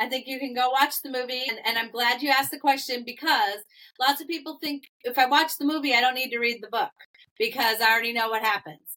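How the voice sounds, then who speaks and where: A woman speaks in a raised, projected voice. Her pitch is high and her intonation lively. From Massachusetts. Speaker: author and filmmaker. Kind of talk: interview.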